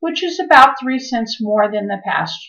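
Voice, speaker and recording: Against a quiet background, a woman speaks at high pitch and a fairly slow pace. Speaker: real estate agent. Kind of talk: scripted narration. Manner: formal. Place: home room. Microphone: webcam.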